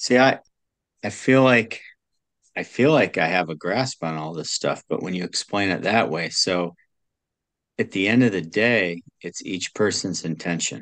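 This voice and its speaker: A man with a very deep, low voice talks at a fairly slow pace with lively intonation and long, frequent pauses. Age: 50s. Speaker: podcast host. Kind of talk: casual interview chat.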